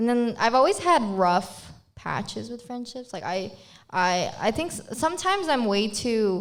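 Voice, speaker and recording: A woman with a Filipino accent talks at a fairly slow pace in a fairly high voice, with very wide pitch swings and big swings in loudness. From Philippines. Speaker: podcast co-host. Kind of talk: casual chat.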